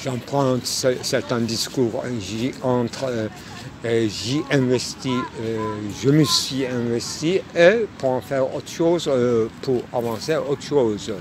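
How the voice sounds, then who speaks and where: There is noticeable background noise as a man with a Turkish accent speaks very slowly, at a medium pitch with ordinary pitch variation. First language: Turkish (speaking French). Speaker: philosophy essayist. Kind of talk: philosophical monologue. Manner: halting, many hesitations.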